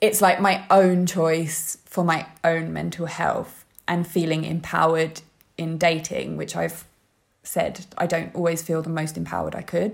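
In a London accent, a woman speaks at a fairly low pitch. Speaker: model and writer. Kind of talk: interview conversation. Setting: remote call.

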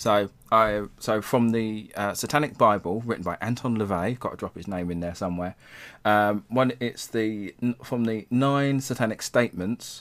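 Pitch varies in an ordinary way at a moderate tempo. The background is silent and the recording very clean. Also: man, fairly low pitch for a man. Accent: English. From England. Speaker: tarot reader and Satanist. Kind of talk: casual chat.

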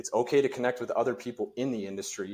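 In an American accent, the speaker uses an ordinary speaking voice at a fairly quick pace with ordinary pitch variation. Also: man. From US rural farm country. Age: 30s. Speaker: mortgage professional and mindset speaker. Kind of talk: casual interview chat.

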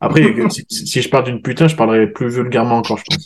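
Very fast speech comes from a man at medium pitch with ordinary pitch variation. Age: 30s. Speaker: podcast host and fitness coach. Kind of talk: casual chat; sponsor plug.

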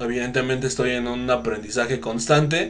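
With a Mexican accent, a man at medium pitch talks at a fairly slow pace with fairly even intonation. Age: 30s. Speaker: podcast host. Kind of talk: casual interview.

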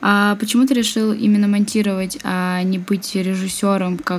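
An ordinary speaking voice with fairly even intonation and a fairly slow pace. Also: woman. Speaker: podcast host. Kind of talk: interview. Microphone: laptop fan noise.

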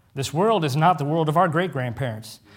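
Using a normal speaking voice, a man talks fairly quickly at a fairly high pitch with lively intonation in a very clean recording with a silent background. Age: 30s. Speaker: preacher. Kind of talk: sermon. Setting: church with congregation.

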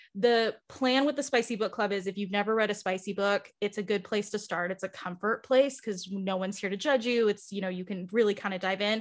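A woman with an ordinary speaking voice talks fairly quickly at a medium pitch, with fairly even intonation and hardly any pauses, in a very clean recording with a silent background. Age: 20s. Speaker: book club organizer and content creator. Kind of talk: casual interview chat.

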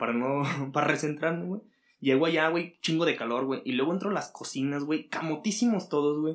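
Ordinary pitch variation in a man's unremarkable speaking voice. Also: fairly high pitch for a man, fairly quick pace. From Mexico, Aguascalientes. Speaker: cook. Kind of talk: casual chat. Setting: in person, same room.

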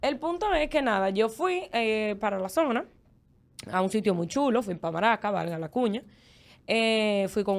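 A woman with a normal speaking voice, pitched fairly high, talks at a moderate pace with lively intonation on a very clean recording with a silent background. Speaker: former podcast co-host. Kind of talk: casual chat.

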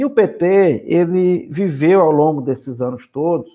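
Fairly high in pitch, this man has a normal speaking voice with lively intonation. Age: 40s. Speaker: politician and social worker. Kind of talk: interview.

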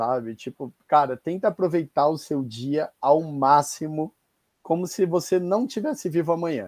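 Over a quiet background, a man speaks at a fairly high pitch with a dark, mellow tone. The sound is dry and close with no echo, and his fairly slow delivery has ordinary pitch variation. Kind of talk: casual chat. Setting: video call.

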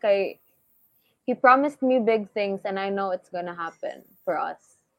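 A woman with a Visayan Filipino accent, medium pitch, fairly slow pace and ordinary pitch variation. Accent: Filipino (Cebuano) English. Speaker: singer. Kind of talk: casual chat.

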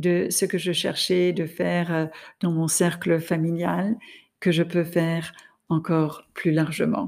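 Very slowly, a woman speaks with a non-native accent, her pitch fairly low and her tone dark and mellow. The recording is very clean, with a silent background. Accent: noticeable foreign accent in French. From France and the US. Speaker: podcast host, leadership coach. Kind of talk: solo podcast monologue.

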